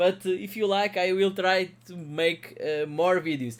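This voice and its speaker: With a Portuguese accent and a high pitch, a man speaks at a very slow pace. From Portugal. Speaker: crypto mining youtuber. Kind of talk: tutorial. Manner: halting, many fillers.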